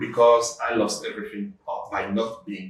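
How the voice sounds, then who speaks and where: With audible room echo, a man with a French accent speaks at a moderate pace. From Belgium. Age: 50s. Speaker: entrepreneur. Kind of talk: interview. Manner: halting.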